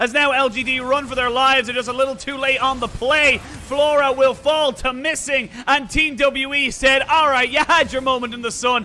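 This man's voice sits at an extremely high pitch for a man, bright and sharp in tone. He sounds animated, his voice raised and projected. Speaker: esports commentator. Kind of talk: live esports commentary. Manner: animated, fast play-by-play delivery; excitable, with exclamations and laughter.

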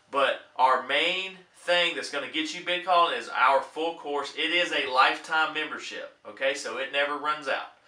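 An upbeat man with a fairly high voice and ordinary pitch variation at a moderate pace, with audible room echo. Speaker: auctioneer and bid-calling instructor. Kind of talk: casual talk to camera, promotional pitch. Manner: upbeat, encouraging. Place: home room.

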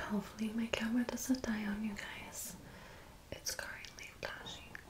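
A woman whispers at a moderate pace. Her tone is relaxed. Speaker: ASMR creator. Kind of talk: soft-spoken ASMR talk to camera. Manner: soft-spoken, relaxed. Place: home room.

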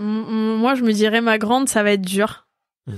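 On a very clean recording with a silent background, a woman talks at a fairly slow pace in a monotone, flat way. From Corsica (Ajaccio). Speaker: karate athlete. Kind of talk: interview.

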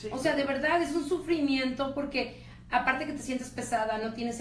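A woman speaks with audible room echo. Light background noise is present. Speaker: radio host. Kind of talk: radio interview questions. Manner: chatty, animated. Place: studio.

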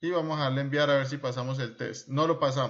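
In an unremarkable speaking voice, a man talks with a fairly high pitch at a moderate pace. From Colombia. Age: 30s. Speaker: trading instructor. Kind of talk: screen-recorded tutorial. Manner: informal, conversational.

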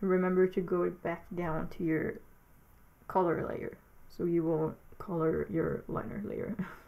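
A woman talks at a fairly slow pace with long, frequent pauses. Her fairly low voice has vocal fry and fairly even intonation. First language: not English. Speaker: digital artist making a tutorial. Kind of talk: narrated tutorial. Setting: alone at home, voiceover recording. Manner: halting, hesitant, with filler words.

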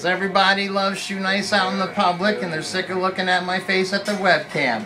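A man speaks in a raised, projected voice at a moderate pace. Faint music sits in the background. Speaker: stunt video host. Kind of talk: casual vlog chat. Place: shop.

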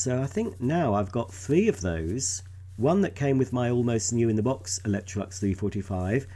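A man with a somewhat breathy voice speaks at a moderate pace and a medium pitch. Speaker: vacuum cleaner enthusiast video creator. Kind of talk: unboxing and product demonstration video.

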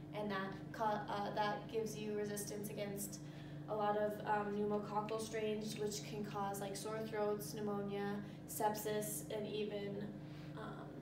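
Amid loud background noise, a woman talks at a fairly slow pace. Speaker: presenter. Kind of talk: tutorial. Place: classroom. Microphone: camera far.

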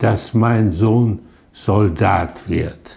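A man speaks at a very slow pace, somewhat breathy. His tone is dark and mellow. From Duisburg, Germany. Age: 80s+. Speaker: contemporary witness, son of resistance fighter. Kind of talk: interview answer. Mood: reflective, recalling his father. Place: home room. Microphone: lapel.

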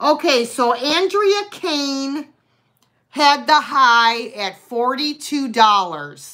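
A raised, projected voice speaks at a very slow pace over a quiet background. The intonation is lively. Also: woman. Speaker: live sale host. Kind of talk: live online sale with auctioneer-style bidding. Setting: live stream video. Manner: chatty, friendly. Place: home room. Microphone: phone near.

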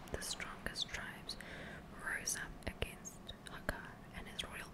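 A woman speaks over loud background noise. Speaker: ASMR gaming streamer. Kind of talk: ASMR lore book reading, storytelling narration. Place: home room. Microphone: studio mic.

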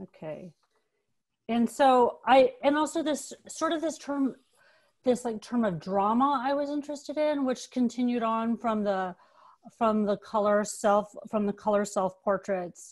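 A woman with an American accent speaks at a fairly slow pace with ordinary pitch variation. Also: quiet background. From Los Angeles. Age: 40s. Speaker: photographer and art teacher. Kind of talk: artist talk presentation. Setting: video call. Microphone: video call.

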